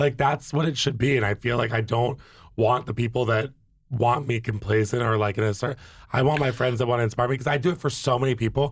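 A very fast, somewhat breathy man with an American accent and very even loudness, in a very clean recording with a silent background. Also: medium pitch for a man. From Virginia. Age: 30s. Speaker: influencer and reality TV personality. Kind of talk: casual chat. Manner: animated.

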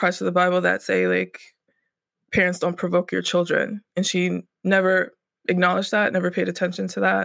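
Someone with a Mid-Atlantic American accent speaks at a very fast pace on a very clean recording with a silent background. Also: woman. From Northern Virginia, DC area. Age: 30s. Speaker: artist and web developer. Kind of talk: interview. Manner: hesitant, with fillers.

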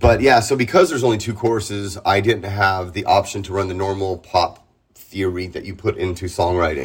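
Somewhat breathy speech in an American accent at a fairly quick pace, ordinary pitch variation, very clean recording with a silent background. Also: man, fairly low pitch for a man. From San Diego, California. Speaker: punk rock singer. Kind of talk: casual interview.

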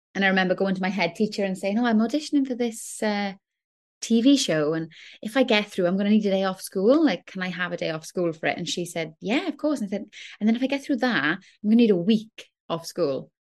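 With a South Wales Valleys accent, a woman talks at a very fast pace and a medium pitch. Her intonation is lively, and the background is quiet. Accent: Welsh (south Wales valleys). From Wales, Rhondda. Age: 30s. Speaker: actress and singer. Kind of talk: interview.

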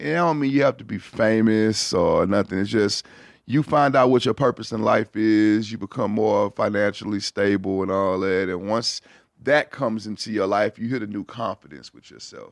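An unremarkable speaking voice from a man, fairly low in pitch, at a moderate pace, with a dry, close sound with no echo over a quiet background. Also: ordinary pitch variation, big swings in loudness. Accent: American. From Houston, Texas. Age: 30s. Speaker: rapper and producer. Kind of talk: casual chat. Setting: studio.

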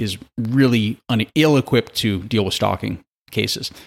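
On a very clean recording with a silent background, someone speaks at a moderate pace with an American accent. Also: man. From US Midwest, St. Louis, Missouri. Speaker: true crime podcast host. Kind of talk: casual chat.

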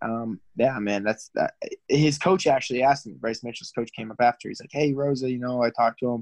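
In a dry, close recording with no echo, a man with an unremarkable speaking voice and a medium pitch talks fairly quickly with fairly even intonation but big swings in loudness. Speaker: MMA fighter. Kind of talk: casual chat. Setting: phone call.

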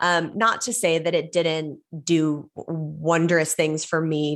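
A woman's very deep, low voice with a Californian accent, fairly even intonation, and a very clean recording over a silent background. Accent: Californian American. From Los Angeles, California. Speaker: author and actress. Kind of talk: interview conversation.

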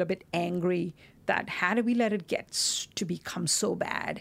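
A woman speaks in a medium pitch with vocal fry. The recording is very clean, with a silent background. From India, Mumbai. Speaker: professor and engineer. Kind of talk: interview.

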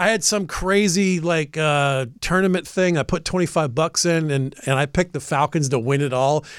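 In a normal speaking voice with an American accent, a man talks at a moderate pace with hardly any pauses, fairly high pitch, ordinary pitch variation and very even loudness, on a very clean recording with a silent background. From US South, Atlanta, Georgia. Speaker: comedian and radio show regular. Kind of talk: casual chat. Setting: studio.

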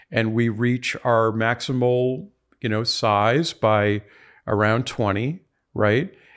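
Very slowly and at very even loudness, a man talks on a very clean recording with a silent background. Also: medium pitch for a man, ordinary pitch variation. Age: 60s. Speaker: professor and biochemist. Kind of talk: interview conversation. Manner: halting, many fillers and repetitions.

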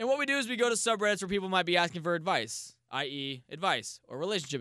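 Bright and sharp in tone, a man talks very fast with energy, his pitch swinging very widely. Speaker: podcast host. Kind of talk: casual chat. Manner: energetic.

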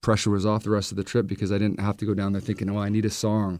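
This very clean recording with a silent background features a voice with a Western Canadian accent. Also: man. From Vancouver, Canada. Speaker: country singer-songwriter. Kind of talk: casual interview.

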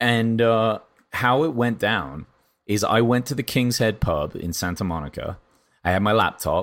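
Speaking with an English accent at a moderate pace, a man of medium pitch uses lively intonation on a very clean recording with a silent background. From England. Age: 30s. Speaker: podcast host. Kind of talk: casual chat.

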